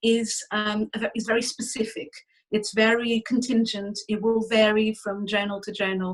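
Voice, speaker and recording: Her voice is fairly high and somewhat breathy. The woman's intonation stays monotone and flat. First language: not English. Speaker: academic workshop speaker. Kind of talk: online workshop talk. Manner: fast; hesitant, many fillers.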